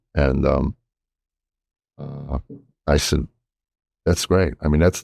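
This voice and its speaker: Very deep and low with vocal fry, a man's dark, mellow voice keeps fairly even intonation at a moderate pace, the sound dry and close with no echo. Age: 60s. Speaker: podcast host, comedian. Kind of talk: casual chat.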